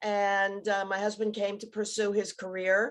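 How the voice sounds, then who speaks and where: At a moderate pace, a woman speaks at a medium pitch in a plain, everyday voice. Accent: American. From New York City (Bronx). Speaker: TV producer. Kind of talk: panel discussion. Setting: video call from home.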